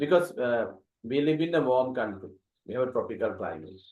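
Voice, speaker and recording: A man in a Sri Lankan accent with lively intonation. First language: Sinhala. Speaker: English teacher. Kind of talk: interview questions.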